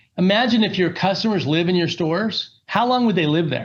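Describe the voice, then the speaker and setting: A man with an American accent at a fairly quick pace, lively intonation and audible room echo. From US Pacific Northwest (Seattle), teens in Las Vegas. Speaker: company executive, guest speaker. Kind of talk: guest lecture. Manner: conversational, filler-heavy.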